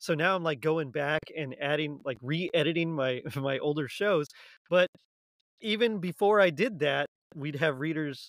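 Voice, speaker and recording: A man with an American accent, fairly high pitch, ordinary pitch variation and an ordinary speaking voice. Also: moderate pace. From South Texas. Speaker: podcast host guest. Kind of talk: casual chat.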